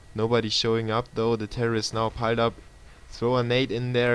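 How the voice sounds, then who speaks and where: Medium-pitched speech from a man with a German accent. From Germany, Munich. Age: 20s. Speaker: esports caster. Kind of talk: live commentary. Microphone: laptop stream.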